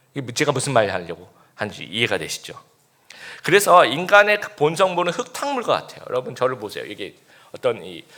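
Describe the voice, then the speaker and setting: His loudness swinging in big swings, a man speaks at a fairly quick pace. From Busan, South Korea. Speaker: pastor. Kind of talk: sermon.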